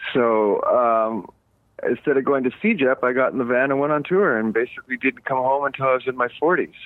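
With a normal speaking voice at medium pitch, a man talks at a fairly quick pace, with ordinary pitch variation and very even loudness. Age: 50s. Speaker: punk rock musician. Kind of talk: casual interview.

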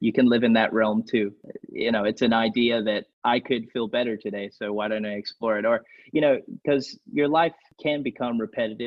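A man talks in an ordinary speaking voice at a medium pitch. His pace is fairly quick and his intonation fairly even. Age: 20s. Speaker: songwriter and music producer. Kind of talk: casual chat.

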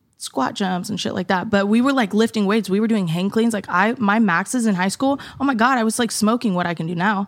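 This woman has a plain, everyday voice at a medium pitch. She talks at a fairly quick pace with ordinary pitch variation. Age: 20s. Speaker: fitness content creator and mother. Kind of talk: casual chat.

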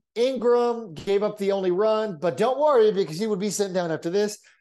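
Over a quiet background, a man speaks at a fairly quick pace. His high voice has a dark, mellow tone and ordinary pitch variation. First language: Spanish. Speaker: baseball podcast co-host. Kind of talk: casual chat. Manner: fast talker.

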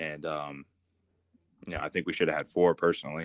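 A man with an American accent in a monotone, flat intonation, dry, close sound with no echo, very clean recording, silent background. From US Midwest, Columbus, Ohio. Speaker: former college football player, co-host. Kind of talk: casual sports chat.

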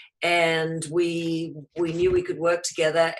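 Speaking very slowly, a woman talks with a New Zealand accent. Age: 50s. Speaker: entrepreneur, company founder. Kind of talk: interview.

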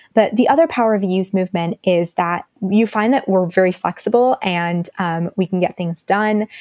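With a plain, everyday voice, a woman speaks at a moderate pace and medium pitch, showing ordinary pitch variation, hardly any pauses, and a dry, close sound with no echo. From Texas, Dallas. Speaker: climate activist, communications staffer. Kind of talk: interview.

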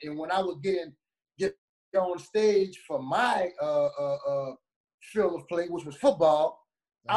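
With a New Orleans accent, a man speaks at a high pitch. He keeps a moderate pace. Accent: New Orleans twang. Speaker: former college running back and youth coach. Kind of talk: casual interview. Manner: animated.

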